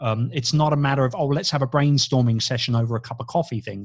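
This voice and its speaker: A somewhat breathy man at a medium pitch against a quiet background. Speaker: business coach and radio host. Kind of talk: casual interview chat.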